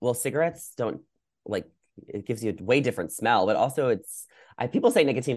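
A man with an American accent speaks in an ordinary speaking voice at medium pitch, with ordinary pitch variation. His pace is fairly quick, and the background is quiet. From New York. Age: 20s. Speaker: content creator. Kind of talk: casual chat.

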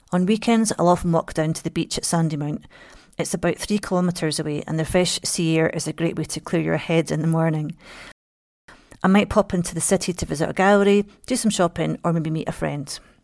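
A woman with a Scottish accent, fairly low pitch and fairly even intonation at a fairly quick pace, on a very clean recording with a silent background. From Scotland. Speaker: local guide, writer. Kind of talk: travel monologue.

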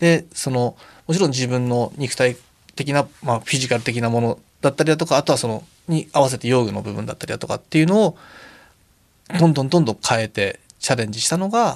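A normal speaking voice from a man, medium in pitch with ordinary variation. He talks at a fairly quick pace. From Tokyo, Japan (Akiruno). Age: 40s. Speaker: Paralympic alpine skier. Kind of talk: interview.

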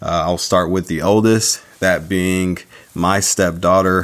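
Fairly even in intonation, this voice has an American accent and noticeable background noise. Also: man. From San Diego, California. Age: 30s. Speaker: podcast host. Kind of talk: solo podcast monologue.

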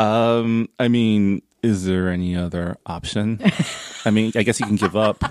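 In a plain, everyday voice, a man speaks fairly slowly at a fairly low pitch with fairly even intonation, the sound dry and close with no echo. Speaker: nonprofit director and podcaster. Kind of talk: casual chat.

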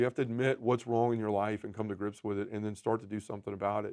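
Against a quiet background, a man talks at a very fast pace in a dark, mellow tone. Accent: Southern US. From Memphis, Tennessee. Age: 40s. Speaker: podcaster and men's ministry leader. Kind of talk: testimony.

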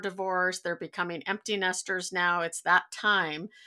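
A woman has an ordinary speaking voice at a medium pitch with fairly even intonation. The recording is very clean, with a silent background. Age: middle-aged. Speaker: podcast host. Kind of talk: casual interview.

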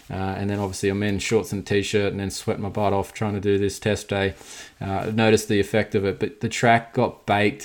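Speaking at a fairly quick pace, a man with an Australian accent talks in a fairly low pitch with monotone, flat intonation. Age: 30s. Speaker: podcast host, motocross rider. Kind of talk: casual podcast monologue.

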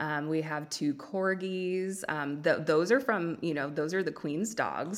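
A woman speaks with a Californian accent. Her pitch varies in an ordinary way. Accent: Californian Valley Girl. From US West Coast. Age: 20s. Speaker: podcaster sharing weight loss story. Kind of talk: casual interview. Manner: talkative, drawn-out speech.

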